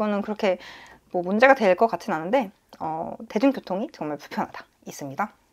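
The background stays quiet. A woman talks at a fairly quick pace. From South Korea. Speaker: nurse and vlogger; vlogger. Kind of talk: casual vlog monologue. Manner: hesitant with frequent fillers. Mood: relaxed, mildly wry. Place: home room. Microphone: lapel.

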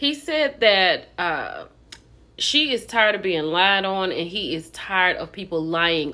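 A woman's fairly low voice, bright and sharp in tone, slow in pace, with big pitch swings

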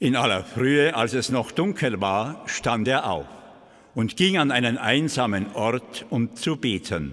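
A man with vocal fry and lively intonation at a very slow pace, against a quiet background. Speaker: Gospel reader (priest or deacon). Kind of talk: liturgical Gospel reading. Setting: church. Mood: calm, solemn. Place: church. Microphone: podium.

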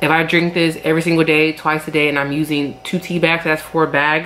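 A woman with a very deep, low pitch talks at a fairly quick pace. Her intonation is fairly even, with light background noise. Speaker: lifestyle vlogger. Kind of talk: casual vlog chat. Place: home room. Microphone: phone near.

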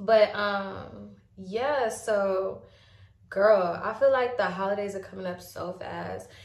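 Someone speaks at a very slow pace with fairly even intonation and big swings in loudness, with audible room echo. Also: woman, medium pitch for a woman. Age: 20s. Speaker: beauty vlogger. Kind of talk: makeup tutorial. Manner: casual, filler-heavy. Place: home room. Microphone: phone near.

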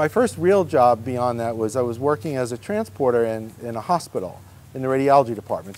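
A man with an American accent speaks very fast. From New York. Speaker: church operations director; interviewee. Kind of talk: casual interview. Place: garden.

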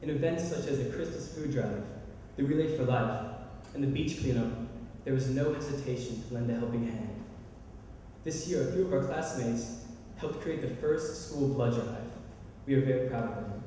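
A man at a moderate pace with ordinary pitch variation and long, frequent pauses, strong room echo and light background noise. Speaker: speaker. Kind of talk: formal ceremonial speech. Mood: proud, warm. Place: hall. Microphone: podium.

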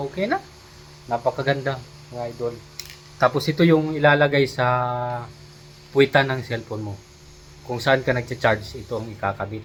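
Ordinary pitch variation from a man, at a fairly quick pace. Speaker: vlogger. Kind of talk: product review vlog.

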